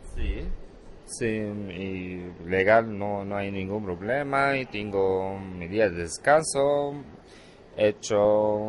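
Very slowly, a man with a fairly low pitch speaks with ordinary pitch variation. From Syria, Hama. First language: Arabic (speaking Spanish). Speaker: immigrant shop worker. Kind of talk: recorded interview. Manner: hesitant, non-native phrasing.

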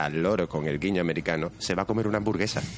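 A man speaks with a very deep, low pitch. He has a Spanish accent and ordinary pitch variation. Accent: Spanish (Spain). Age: 30s. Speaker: anime and manga enthusiast. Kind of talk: casual chat.

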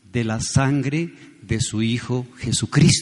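A man speaks very slowly, with noticeable background noise underneath. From Colombia, Pereira. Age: 70s. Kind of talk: sermon.

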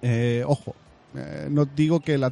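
The sound is dry and close with no echo as a man speaks in a medium pitch with ordinary pitch variation. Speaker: podcast host. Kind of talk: casual monologue. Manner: hesitant fillers.

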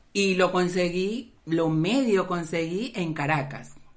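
A woman speaks in a fairly low voice. Her pitch varies in an ordinary way. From Venezuela. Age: 30s. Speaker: podcast co-host. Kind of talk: casual chat.

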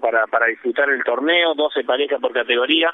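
Speech comes at a moderate pace. The pitch moves in an ordinary way. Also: man. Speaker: padel tournament organizer. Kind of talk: radio phone interview. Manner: halting, repetitive.

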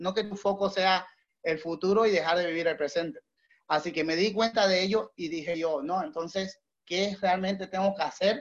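This man's high voice moves along at a moderate tempo, its pitch varying in an ordinary way. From Bolivia. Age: 30s. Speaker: entrepreneur. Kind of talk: motivational talk. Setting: call.

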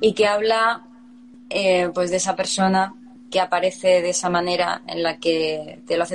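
Noticeable background noise sits behind a woman whose voice is fairly low-pitched. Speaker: band musician. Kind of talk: casual interview.

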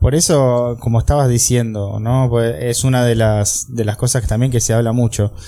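A man with a Rioplatense accent and a dark, mellow tone, at a moderate pace with very even loudness and fairly even intonation. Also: medium pitch for a man. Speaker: podcast host. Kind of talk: interview. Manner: halting.

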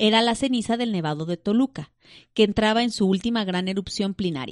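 A woman with an ordinary speaking voice talks at a moderate pace, her pitch fairly high and her intonation lively. The sound is dry and close with no echo, and the background is quiet. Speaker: podcast host. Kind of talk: reading aloud; casual chat.

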